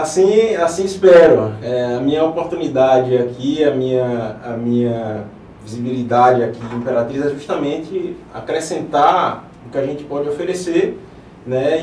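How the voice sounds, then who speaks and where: The voice has lively intonation and is heard with audible room echo. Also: man. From Paraíba, Brazilian Northeast (João Pessoa). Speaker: interventional radiologist, physician. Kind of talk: TV interview. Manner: hesitant, filler words.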